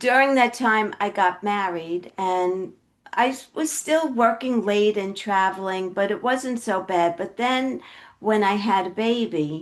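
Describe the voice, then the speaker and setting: At a fairly slow pace, a woman with a Brooklyn accent speaks with ordinary pitch variation. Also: medium pitch for a woman. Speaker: health coach. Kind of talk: podcast interview.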